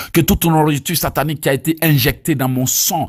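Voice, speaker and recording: Someone with an Ivorian accent speaks with vocal fry on a very clean recording with a silent background. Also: man. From Côte d'Ivoire. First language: Abé (speaking French). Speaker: evangelist preacher. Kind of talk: teaching and prayer. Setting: recorded voice note.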